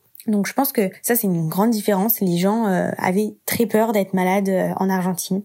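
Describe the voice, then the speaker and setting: Hardly pausing, a woman talks in a medium pitch with a dark, mellow tone and fairly even intonation. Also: moderate pace. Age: 20s. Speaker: university student. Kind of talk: casual chat.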